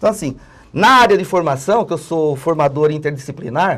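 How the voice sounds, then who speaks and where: Here is a man with an ordinary speaking voice, fairly high in pitch and lively in intonation. The recording is very clean, with a silent background. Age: 60s. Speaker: political analyst and trade unionist. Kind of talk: TV interview.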